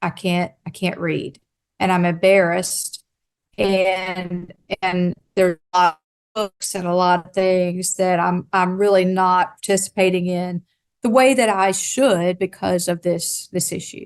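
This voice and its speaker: A woman with a Southern US accent talks in a medium pitch with fairly even intonation. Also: fairly slow pace. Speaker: state behavioral health official. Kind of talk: conference talk.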